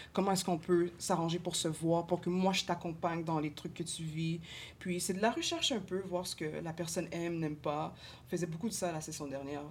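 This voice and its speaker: A woman talks at a fairly quick pace in an ordinary speaking voice. Her pitch is fairly low and her intonation fairly even. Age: 20s. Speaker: social work student. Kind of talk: casual chat.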